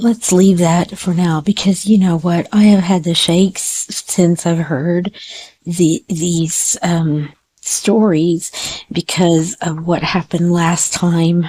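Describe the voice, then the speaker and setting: A woman speaks at a very slow pace in a dark, mellow, somewhat breathy voice, fairly low in pitch with fairly even intonation. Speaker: psychic reader. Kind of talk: tarot and crystal ball reading. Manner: halting.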